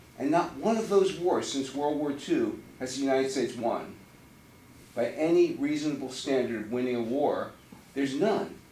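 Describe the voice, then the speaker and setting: Noticeable background noise and audible room echo, plus a man's fairly high voice at a moderate pace. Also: ordinary pitch variation. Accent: American. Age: 60s. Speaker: constituent at town hall meeting. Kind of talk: public comment at town hall. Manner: impassioned, worked up.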